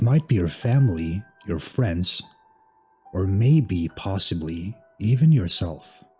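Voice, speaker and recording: With music in the background, a man with a fairly low pitch talks at a very slow pace, his pitch swinging very widely between long, frequent pauses. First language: not English. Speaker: horror story narrator. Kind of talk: scary story narration.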